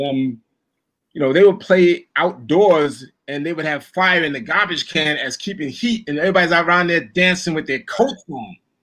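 This man talks at a moderate pace in a high pitch with a Brooklyn accent. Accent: New York (Brooklyn). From Brooklyn, New York. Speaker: songwriter and producer. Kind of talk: interview.

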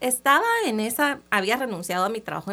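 The pace is moderate. A woman is speaking. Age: 30s. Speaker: entrepreneur. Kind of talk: interview. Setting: radio studio.

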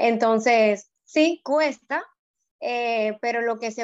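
A very slow delivery with ordinary pitch variation. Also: woman. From Dominican Republic, Puerto Plata. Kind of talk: casual chat. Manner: hesitant, many fillers.

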